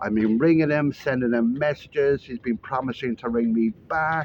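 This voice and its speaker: This is a man speaking. He has an Irish accent. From Ireland. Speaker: vlogger. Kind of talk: casual vlog monologue. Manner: casual, with frequent fillers.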